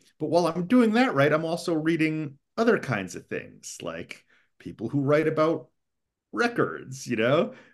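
A man with an American accent speaks at a moderate pace with a fairly high pitch and vocal fry. His pitch swings very widely. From US East Coast. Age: 50s. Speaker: English professor and author. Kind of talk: casual interview.

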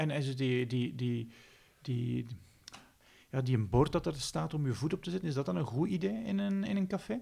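A man with a Flemish accent speaks at a moderate pace in a fairly high pitch, his dark, mellow tone somewhat breathy and his pitch swinging very widely. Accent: Flemish Dutch. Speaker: podcast host. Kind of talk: interview.

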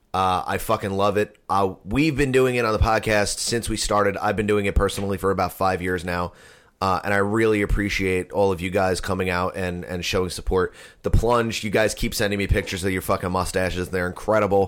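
In a very clean recording with a silent background, a man speaks in a normal speaking voice at a fairly low pitch. His pace is fairly quick and his intonation fairly even. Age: 30s. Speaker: podcast host. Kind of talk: casual chat.

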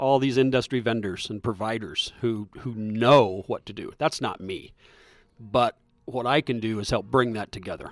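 A man with a Midwestern American accent, medium pitch, ordinary pitch variation and a moderate pace. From US Midwest, south central Iowa. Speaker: magazine founder and former cattle farmer. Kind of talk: casual interview.

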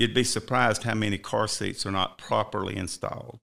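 A man speaks in a Southern US accent with a bright, sharp tone and vocal fry. The recording is very clean, with a silent background. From South Carolina. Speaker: fire chief. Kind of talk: interview. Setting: studio.

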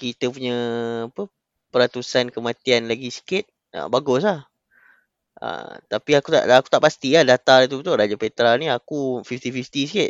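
Medium-pitched male speech at a moderate pace, a plain, everyday voice with ordinary pitch variation. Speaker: podcast guest. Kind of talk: casual chat.

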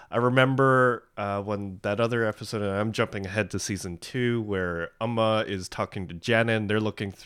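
An unremarkable speaking voice from a man with a Canadian accent, fairly low pitch, ordinary pitch variation and a moderate pace, on a very clean recording with a silent background. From Canada. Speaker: podcast host. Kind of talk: casual chat.

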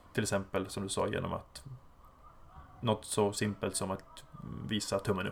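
This man has a fairly low voice and fairly even intonation, with long, frequent pauses. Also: moderate pace. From Sweden, Umeå. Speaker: football coach. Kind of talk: interview.

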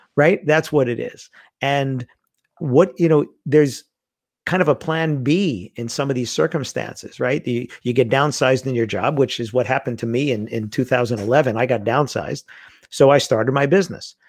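Heard on a very clean recording with a silent background, a man talks with a New York accent. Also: medium pitch for a man, ordinary pitch variation, moderate pace. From US, Queens, New York. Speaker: wedding industry speaker and author. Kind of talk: casual chat.

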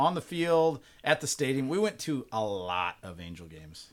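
A man speaks at a moderate pace with an American accent, swinging very widely in pitch. His loudness shifts a lot too, in a very clean recording with a silent background. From California, Bakersfield. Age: 40s. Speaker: pastor. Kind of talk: casual chat. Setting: studio.

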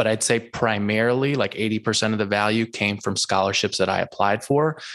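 Speaking with an American accent, a man with an unremarkable speaking voice has a fairly low pitch, fairly even intonation and a moderate pace. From US Northeast. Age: 30s. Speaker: finance podcaster and investor. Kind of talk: casual interview.

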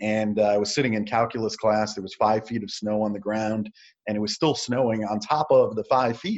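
An unremarkable speaking voice carries an American accent. It moves at a moderate pace with ordinary pitch variation. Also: man. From New York City. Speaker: motivational speaker and entrepreneur. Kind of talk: casual interview.

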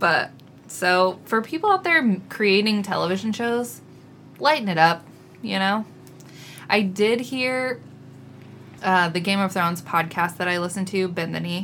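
Moderate pace from a woman with a medium pitch, ordinary pitch variation and long, frequent pauses. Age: 30s. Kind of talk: casual chat.

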